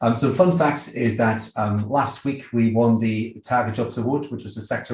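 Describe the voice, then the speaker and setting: A man's medium-pitched voice sounds somewhat breathy with fairly even intonation. Audible room echo surrounds it. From Netherlands. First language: Dutch. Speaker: graduate recruitment manager. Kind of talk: panel discussion.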